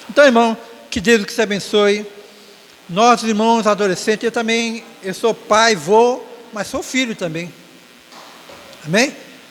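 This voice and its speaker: Amid noticeable background noise, a man with a high pitch speaks fairly slowly with long, frequent pauses and ordinary pitch variation. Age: 60s. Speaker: church elder giving closing remarks at Sunday school. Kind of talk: Sunday school exhortation. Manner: halting, with frequent self-corrections.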